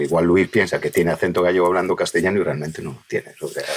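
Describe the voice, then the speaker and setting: A man at a very fast pace. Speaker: voice actor. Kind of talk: podcast interview conversation.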